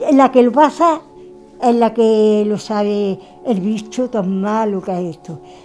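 Faint music plays behind a woman who speaks at a fairly high pitch with an Andalusian accent. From Andalusia, Puente Genil (Córdoba). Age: 70s. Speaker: Covid-19 survivor. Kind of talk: interview. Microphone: handheld.

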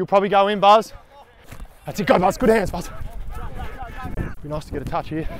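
A man at a fairly quick pace, dry sound with no echo, light background noise. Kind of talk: on-field calls and banter. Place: open country. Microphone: lapel.

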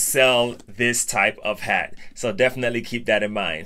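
Over light background noise, a man talks in a bright, sharp tone. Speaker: hat collector youtuber. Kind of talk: casual vlog chat. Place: home room. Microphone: phone near.

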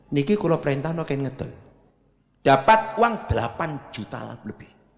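Very wide pitch swings mark this man's voice, which carries vocal fry. He speaks at a very slow pace against a quiet background. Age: 70s. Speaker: Islamic preacher and professor; Islamic preacher, professor. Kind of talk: sermon. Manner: animated. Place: stage. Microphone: handheld.

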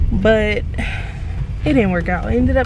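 A woman with an American accent is heard in a dry sound with no echo, over noticeable background noise. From New Jersey. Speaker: vlogger. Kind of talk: casual vlog talk to camera. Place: car. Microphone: phone near.

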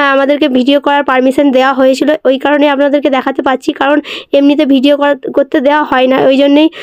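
A high-pitched woman's voice, monotone and flat, at very even loudness, in a dry, close sound with no echo. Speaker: travel vlogger. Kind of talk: travel vlog narration.

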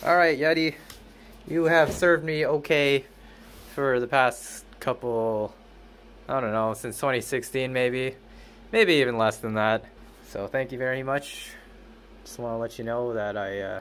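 A man talks at a fairly slow pace, with long, frequent pauses and ordinary pitch variation. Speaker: music creator vlogger. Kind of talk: casual vlog chat. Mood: playful, upbeat. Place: booth. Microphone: phone near.

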